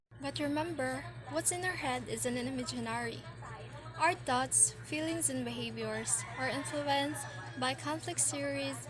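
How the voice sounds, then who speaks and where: A woman keeps a moderate pace as clear noise runs in the background. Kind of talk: informational presentation narration.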